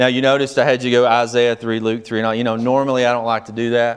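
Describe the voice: A man talks fast with a clear, smooth tone. His medium pitch shows little movement.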